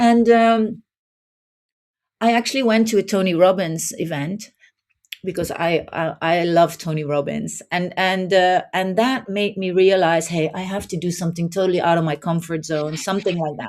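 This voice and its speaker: This woman has a fairly low pitch and a Dutch accent. She talks at a moderate pace. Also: ordinary pitch variation. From southern Netherlands. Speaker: life coach. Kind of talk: podcast interview.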